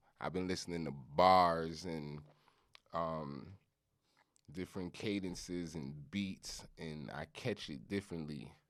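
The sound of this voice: A man speaks slowly in a low pitch with a fairly bright tone and ordinary pitch variation. The recording is very clean, with a silent background.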